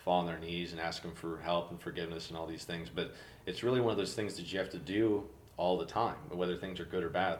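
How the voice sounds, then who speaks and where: A man with a very deep, low pitch speaks at a fairly quick pace amid audible room echo. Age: 20s. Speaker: incoming podcast host sharing faith story. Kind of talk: casual faith interview. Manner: halting, many repetitions.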